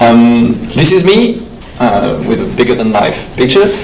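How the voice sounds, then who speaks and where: In a French accent, a man speaks at a medium pitch. Room echo is audible, along with noticeable background noise. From France. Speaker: panel moderator, web developer. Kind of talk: panel discussion moderation. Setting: conference stage with audience.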